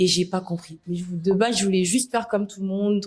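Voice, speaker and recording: This woman's voice is somewhat breathy. It sits at a medium pitch and varies in an ordinary way. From Senegal, Dakar. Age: 20s. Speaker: influencer. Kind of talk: interview.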